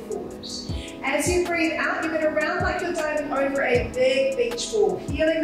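Against clear background music and strong room echo, a woman speaks at a moderate pace. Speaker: pilates instructor. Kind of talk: workout class instruction. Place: empty room.

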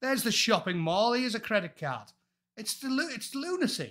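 In an animated tone with lively intonation, a man speaks at a moderate pace over a quiet background. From England. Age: 40s. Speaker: former Royal Marine and YouTuber; YouTuber. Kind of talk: casual chat. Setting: video call. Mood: exasperated, opinionated. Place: home room. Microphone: earbuds.

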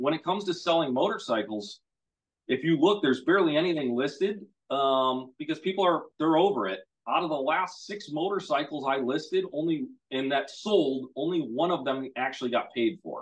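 A man's fairly high pitch and lively intonation over a quiet background. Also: moderate pace. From US Midwest. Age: 30s. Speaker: motorcycle dealer. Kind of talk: casual chat. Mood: relaxed, chatty. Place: garage. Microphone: video call.

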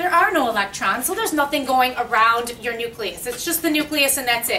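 Against light background noise, a woman raises her voice and projects it. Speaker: chemistry teacher. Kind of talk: lecture. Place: classroom. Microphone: camera far.

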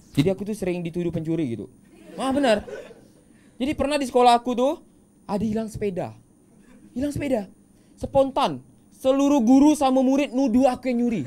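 A man's extremely high-pitched voice at a very fast pace, with long, frequent pauses, lively intonation and an animated, playful tone. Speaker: stand-up comedian. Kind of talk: stand-up comedy set with audience interaction and punchline skits. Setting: stage with audience at a school. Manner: animated, playful, punchline-driven; quick jokes and acted-out character voices. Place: studio. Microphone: handheld.

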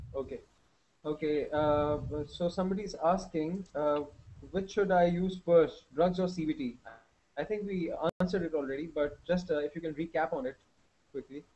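Light background noise sits behind a man with a high pitch who talks at a moderate pace, with fairly even intonation and long, frequent pauses. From Pakistan. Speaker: webinar host. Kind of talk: hosted Q&A. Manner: hesitant, many fillers. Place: home room. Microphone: headset.

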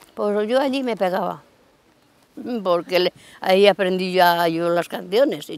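Faint music plays in the background as a woman with a medium-pitched voice and lively intonation speaks at a fairly slow pace, the sound dry with no echo. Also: big swings in loudness. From Cantabria, Spain. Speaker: local elder sharing memories. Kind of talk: oral history interview. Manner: halting. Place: garden. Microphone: lapel.

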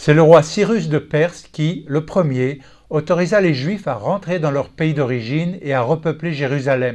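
A man speaks in an unremarkable speaking voice, fairly high in pitch with ordinary pitch variation. His pace is fairly slow, and the background is quiet. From Texas. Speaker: Bible teacher. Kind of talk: scripted teaching talk.

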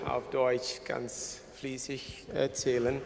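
A man talks at a very slow pace over noticeable background noise. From Ghana. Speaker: archbishop. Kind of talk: speech. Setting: stage with audience. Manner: halting. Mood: warm, thankful. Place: hall. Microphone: podium.

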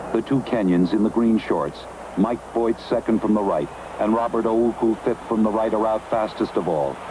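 Over noticeable background noise, a man speaks with very even loudness and fairly even intonation. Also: medium pitch for a man. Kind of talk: 1970s sports broadcast commentary. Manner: rapid, crisp, formal play-by-play, rising urgency through the race.

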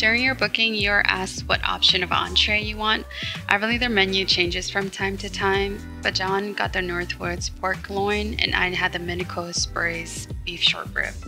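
Music plays in the background. A woman talks over it at a moderate pace. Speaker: vlogger narrating her trip. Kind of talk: casual vlog narration.

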